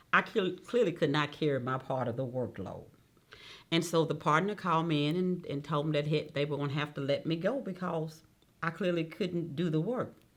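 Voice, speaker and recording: At a fairly quick pace, a woman talks with a very deep, low pitch and ordinary pitch variation. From Mississippi Delta. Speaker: judge. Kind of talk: oral history interview.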